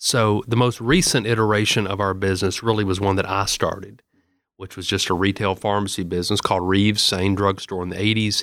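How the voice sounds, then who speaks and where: Speaking fairly quickly in a Southern US accent, a man holds a monotone, flat intonation at a fairly low pitch on a very clean recording with a silent background. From Middle Tennessee (Murfreesboro). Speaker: state senator and pharmacist. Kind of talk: casual chat.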